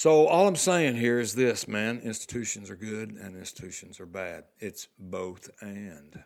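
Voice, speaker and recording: In a Southern US accent, a man talks fairly slowly at medium pitch. His intonation is lively and his loudness swings a lot. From US South, Arkansas. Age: 60s. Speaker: podcast host, retired. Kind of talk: reflective monologue. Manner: casual, halting with fillers.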